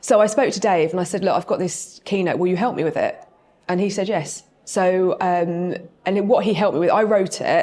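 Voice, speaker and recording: A woman talks at a medium pitch with a dark, mellow tone. Her intonation stays fairly even. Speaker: property training company director. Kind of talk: podcast interview. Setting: live event before audience. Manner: fast.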